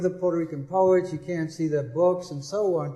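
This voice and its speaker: The delivery comes at a moderate pace in a flat, monotone intonation. Noticeable background noise runs underneath. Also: man. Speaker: poet and literary historian. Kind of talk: panel discussion answer.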